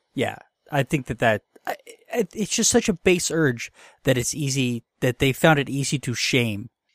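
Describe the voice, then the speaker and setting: At a fairly slow pace, a man talks in an unremarkable speaking voice, with a dry, close sound with no echo and a very clean recording over a silent background. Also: fairly high pitch for a man, lively intonation. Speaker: podcast host. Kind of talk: casual banter podcast. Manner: joking, rambling.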